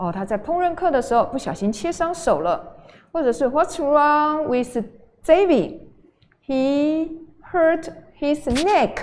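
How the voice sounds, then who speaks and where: With long, frequent pauses, a woman speaks very slowly at a high pitch, her intonation lively. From Taiwan. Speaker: junior high English teacher. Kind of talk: online lecture. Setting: livestream. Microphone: studio mic.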